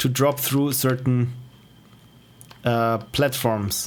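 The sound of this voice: A man speaks at a medium pitch with an Austrian accent. His delivery is very slow, and his intonation stays fairly even.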